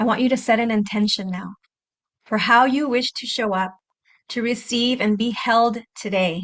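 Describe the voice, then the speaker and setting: This woman has a plain, everyday voice set at a fairly high pitch. Her intonation is fairly even. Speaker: podcast host. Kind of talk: guided breathing meditation. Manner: slow, soft-spoken.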